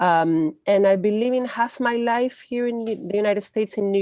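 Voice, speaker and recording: This woman has a Spanish accent and a medium pitch with ordinary variation. She talks at a moderate pace with hardly any pauses, in a dark, mellow tone. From Chile. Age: 40s. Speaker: activist. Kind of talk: interview. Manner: halting.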